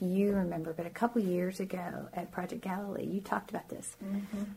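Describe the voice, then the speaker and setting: A woman with an American accent speaks at a fairly quick pace in a medium pitch, her intonation monotone and flat. Background noise is noticeable. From Shenandoah Valley, Virginia, US. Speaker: churchgoer sharing her faith story. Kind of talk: testimony.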